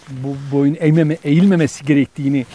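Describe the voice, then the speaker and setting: Over noticeable background noise, a man with a fairly high pitch talks at a fairly slow pace in fairly even intonation. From Dersim, eastern Turkey. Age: 60s. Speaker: interviewee, local elder. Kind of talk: interview, personal recollection. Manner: halting, many fillers.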